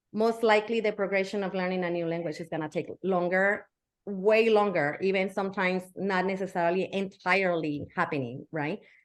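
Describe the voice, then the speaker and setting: A woman speaks with a Spanish accent at a medium pitch. Her pace is fairly quick and her intonation fairly even. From Mexico. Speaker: educator. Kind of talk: interview.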